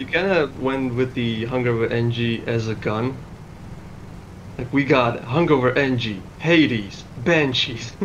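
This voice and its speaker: Amid noticeable background noise and audible room echo, a man talks at a fairly slow pace with long, frequent pauses. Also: medium pitch for a man, ordinary pitch variation. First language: not English. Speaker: game tournament co-caster. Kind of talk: live commentary.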